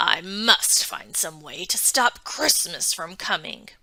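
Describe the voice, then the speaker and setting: Putting on a growling character voice, a woman speaks at a fairly slow pace and medium pitch, her loudness swinging widely. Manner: growling, scheming.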